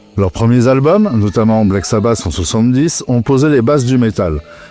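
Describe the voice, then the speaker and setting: A man talks at a moderate pace. Behind him, music is playing. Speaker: metal music podcast host. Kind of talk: scripted podcast narration.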